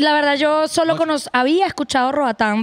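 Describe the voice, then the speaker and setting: Against a quiet background, a woman with a Venezuelan accent talks at a moderate pace with ordinary pitch variation. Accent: Venezuelan, kept. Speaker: podcast guest, arepa seller. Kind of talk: casual chat. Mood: relaxed, candid. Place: studio. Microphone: studio mic.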